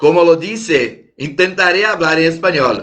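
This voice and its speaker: In a Brazilian accent, a man with a fairly high pitch and a bright, sharp tone speaks at a very slow pace amid audible room echo. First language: Portuguese (speaking Spanish). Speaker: lawyer, conference speaker. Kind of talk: conference talk. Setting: video call. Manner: halting.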